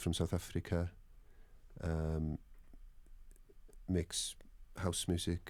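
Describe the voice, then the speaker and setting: A very slow man's voice, very deep and low, flat and monotone, with a Welsh accent. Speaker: musician. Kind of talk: interview. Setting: radio studio. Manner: halting, many fillers.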